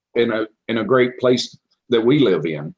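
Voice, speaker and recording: With a Tennessee accent, a man speaks at a medium pitch with ordinary pitch variation. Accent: Southern US (Tennessee). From Clarksville, Tennessee. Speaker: city council candidate. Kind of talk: political forum statement. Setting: public forum.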